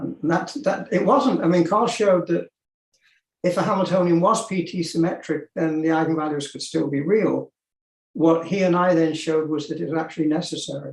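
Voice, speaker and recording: This man's high pitch shows ordinary pitch variation as he speaks at a fairly quick pace. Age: 70s. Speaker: physicist. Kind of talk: lecture.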